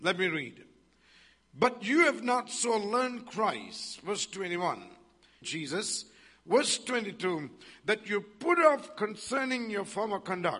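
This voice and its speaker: A man with a raised, projected voice and high pitch speaks at a very slow pace, with lively intonation and long, frequent pauses. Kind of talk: sermon with charismatic prayer and call-and-response. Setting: church. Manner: animated, fervent, exhorting the congregation; rhythmic, repetitive, praise-driven.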